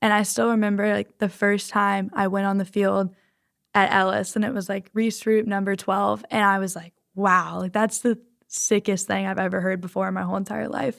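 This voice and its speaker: The speaker has an American accent in a very clean recording with a silent background. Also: woman, medium pitch for a woman. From Texas, Houston area. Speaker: college athlete. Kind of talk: podcast interview. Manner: fast; animated.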